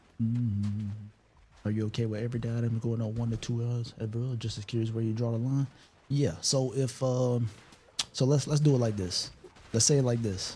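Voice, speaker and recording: A man talks at a fairly quick pace with long, frequent pauses, using a somewhat breathy, dark, mellow voice of medium pitch and fairly even intonation. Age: 30s. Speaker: gaming streamer. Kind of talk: casual live stream chat.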